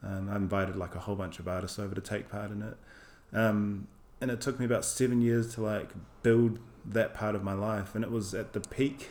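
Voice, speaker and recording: This man has a New Zealand accent, a fairly low pitch, and a fairly quick pace. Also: fairly even intonation. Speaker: artist. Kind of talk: casual interview chat.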